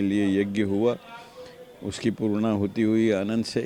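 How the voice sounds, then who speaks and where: Monotone, flat delivery from a man of medium pitch. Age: 80s+. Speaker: temple trustee. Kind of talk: interview.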